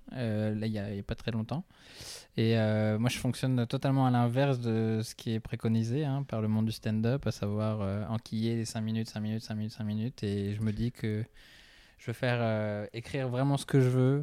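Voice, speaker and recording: A man's dark, mellow voice, flat and monotone, on a very clean recording with a silent background. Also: medium pitch for a man, moderate pace. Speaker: stand-up comedy student. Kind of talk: casual chat. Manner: soft-spoken.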